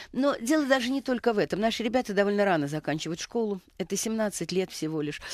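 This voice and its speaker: A woman talking at a very fast pace with lively intonation and hardly any pauses, dry sound with no echo, quiet background. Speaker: education researcher, institute director. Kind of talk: radio panel discussion. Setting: studio. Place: studio. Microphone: headset.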